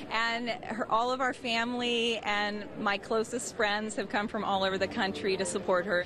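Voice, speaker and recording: Over noticeable background noise with a dry sound and no echo, a woman speaks in a nervous tone with fairly even intonation, very even loudness and hardly any pauses. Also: moderate pace. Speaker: relative of pageant winner. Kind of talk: interview answer. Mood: excited, proud. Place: street. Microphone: handheld.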